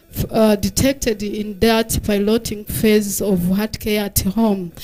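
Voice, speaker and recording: Speaking at a fairly slow pace in a Rwandan accent, a woman has a dark, mellow tone, a fairly high pitch and fairly even intonation. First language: Kinyarwanda. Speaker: health researcher. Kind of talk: conference presentation. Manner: halting, many fillers.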